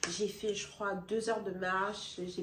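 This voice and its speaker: This woman's voice sits at a medium pitch and moves in a flat monotone at a fairly slow pace. Noticeable background noise and audible room echo fill the recording. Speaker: beauty and lifestyle vlogger. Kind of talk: personal testimony vlog. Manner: casual, conversational.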